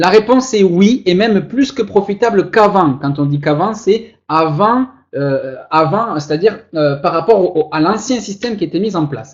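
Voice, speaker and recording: Here a man speaks at a high pitch in a Toulouse accent. His intonation is lively and his pace moderate. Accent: Toulouse accent (southern French). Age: 20s. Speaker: online investment promoter. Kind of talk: sales pitch. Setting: online webinar. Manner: animated, showman-like.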